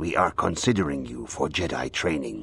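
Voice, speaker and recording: Someone uses a raspy, put-on character voice at a moderate pace. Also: man. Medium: video game. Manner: calm, serene.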